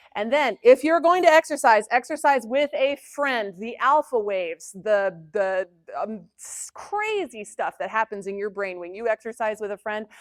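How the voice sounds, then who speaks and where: A woman with a fairly high pitch, an animated tone, lively intonation and big swings in loudness, hardly any pauses, dry, close sound with no echo, on a very clean recording with a silent background. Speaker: music psychologist and conference presenter. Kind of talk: conference talk. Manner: fast.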